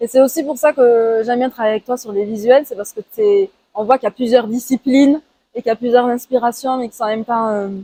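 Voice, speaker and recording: A voice with a southern French accent speaks at a very fast pace, its dark, mellow tone rising and falling sharply in loudness, with ordinary pitch variation and a dry, close sound free of echo. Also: woman, high pitch for a woman. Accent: southern French (Toulouse). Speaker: artist podcast host, musician. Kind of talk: casual interview. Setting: outdoors, walking in Toulouse.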